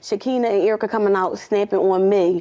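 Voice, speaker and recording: A woman talks at a fairly quick pace, her pitch varying an ordinary amount. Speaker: litigant in small claims court. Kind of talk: courtroom testimony. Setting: courtroom. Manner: fast; animated.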